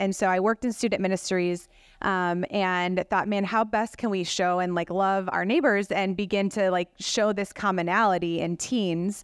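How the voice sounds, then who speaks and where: An American accent marks this woman's ordinary speaking voice, medium in pitch with fairly even intonation, moving at a moderate pace in a very clean recording with a silent background. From Rockford, Illinois. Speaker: pastor. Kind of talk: panel conversation.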